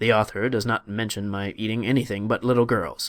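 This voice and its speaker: A man's put-on, growling character voice at a medium pitch and a fairly quick pace. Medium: read story. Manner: menacing.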